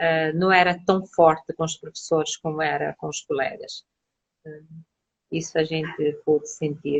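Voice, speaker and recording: Somewhat breathy and very deep and low, a woman's voice stays monotone and flat at a fairly slow pace, broken by long, frequent pauses. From Cape Verde. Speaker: psychologist. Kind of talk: interview.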